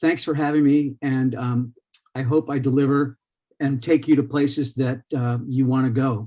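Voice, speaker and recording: At a moderate pace, a man speaks in a medium pitch with a dark, mellow tone. His intonation is monotone and flat. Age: 70s. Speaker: conference speaker, photographer and researcher. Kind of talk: conference talk. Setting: conference with live audience. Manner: hesitant, many fillers.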